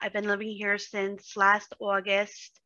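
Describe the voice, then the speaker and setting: Fairly slow speech in a New York accent. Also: woman. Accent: New York (Bronx). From New York, the Bronx. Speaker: day trader, community member. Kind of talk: casual interview chat.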